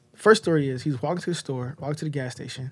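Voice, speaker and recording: A man talks at a very fast pace with a fairly high pitch. His voice is somewhat breathy. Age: 20s. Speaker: singer. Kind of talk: casual chat. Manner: halting.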